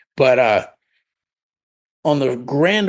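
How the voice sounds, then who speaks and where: With an American accent, a man is talking. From Pennsylvania, Lancaster area. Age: 60s. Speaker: nightclub owner and music promoter. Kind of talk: podcast interview. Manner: halting, many fillers and restarts.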